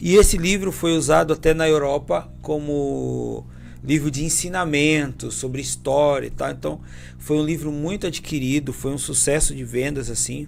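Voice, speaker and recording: Music runs in the background. Over it, a man speaks at a moderate speed. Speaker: pastor and author. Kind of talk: podcast interview.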